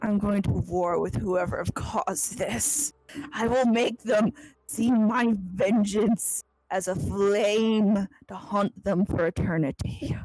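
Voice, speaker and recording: A woman puts on a character voice at a medium pitch. The voice is guttural. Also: fairly slow pace, dry, close sound with no echo. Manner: vengeful, dramatic.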